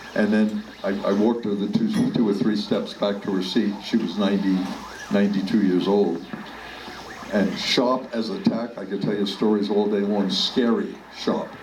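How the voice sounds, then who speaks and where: Through audible room echo and noticeable background noise, a man with an American accent speaks in a fairly low pitch with monotone, flat intonation. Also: moderate pace. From New York City, the Bronx. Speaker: politician. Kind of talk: storytelling talk. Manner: halting.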